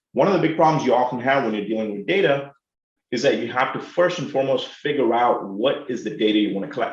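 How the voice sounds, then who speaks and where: Here a man talks at a very fast pace with an Indian accent. Audible room echo surrounds his voice. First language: Telugu. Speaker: professor. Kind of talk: lecture. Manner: animated.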